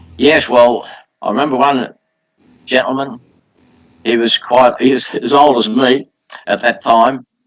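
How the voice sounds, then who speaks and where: A man talks with monotone, flat intonation. He leaves long, frequent pauses. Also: medium pitch for a man, fairly slow pace. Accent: Australian. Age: 80s+. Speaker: poultry exhibitor. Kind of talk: interview answer.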